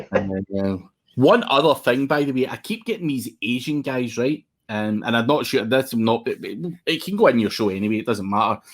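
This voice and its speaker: In a Scottish accent, a man speaks at a moderate pace with lively intonation. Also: medium pitch for a man, very clean recording, silent background. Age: 40s. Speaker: SEO agency owner. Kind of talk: casual interview chat. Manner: casual, sweary.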